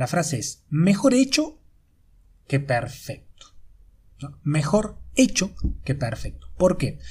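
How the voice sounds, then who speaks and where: Vocal fry and very wide pitch swings at a very slow pace, with long, frequent pauses. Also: man, fairly high pitch for a man. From Argentina, Córdoba. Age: 30s. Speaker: life coach. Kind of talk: podcast monologue. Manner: halting, many repetitions and fillers. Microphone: amateur recording, poor sound quality.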